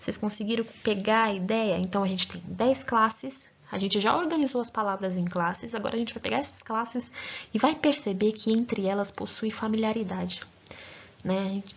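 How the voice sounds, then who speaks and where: Her pitch sits fairly high and varies in an ordinary way as a woman talks at a moderate pace in a plain, everyday voice. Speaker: grammar teacher. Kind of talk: lecture.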